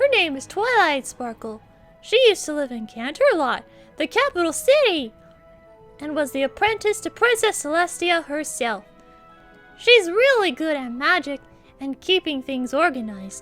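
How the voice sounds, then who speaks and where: Faint music sits behind a put-on character voice that moves at a moderate pace, with very wide pitch swings and big shifts in loudness. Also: woman, high pitch for a woman. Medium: audio drama. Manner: cheerful, giggly.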